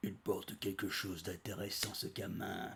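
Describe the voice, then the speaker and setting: A man uses a put-on character voice at a moderate pace and a fairly low pitch. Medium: read story. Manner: gruff, bullying.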